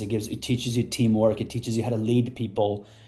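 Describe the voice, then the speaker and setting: A man with an American accent talks very fast in a flat monotone. His tone is dark, mellow and somewhat breathy. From Afghanistan, then Pakistan refugee camps; US (Colorado) from age 14. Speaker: entrepreneur. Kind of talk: podcast interview. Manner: casual, many fillers and repetitions.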